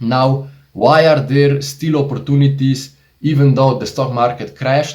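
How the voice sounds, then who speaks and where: A man's somewhat breathy, medium-pitched voice with a Slovenian accent. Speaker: investing YouTuber. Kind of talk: casual tutorial monologue. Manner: animated.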